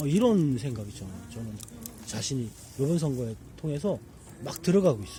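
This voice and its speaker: The pitch swings very widely and the loudness rises and falls sharply at a moderate pace. Long pauses come often, with music playing in the background. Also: man, medium pitch for a man. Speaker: election candidate (minor left-wing party). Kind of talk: casual conversational talk beside a campfire.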